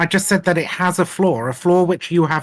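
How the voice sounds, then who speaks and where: At a fairly quick pace, a man with a British accent speaks at a high pitch with ordinary pitch variation. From Britain. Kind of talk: heated debate.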